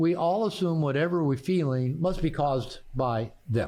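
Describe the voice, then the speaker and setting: With a West Coast accent, a man talks in a fairly high, dark, mellow voice with ordinary pitch variation. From US Pacific Northwest, Bellevue near Seattle. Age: 60s. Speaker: therapist and author. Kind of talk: podcast interview. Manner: halting.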